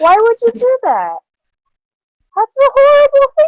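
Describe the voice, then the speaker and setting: In a squeaky, put-on character voice, a woman speaks at a moderate pace with an extremely high pitch and lively intonation. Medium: actual play.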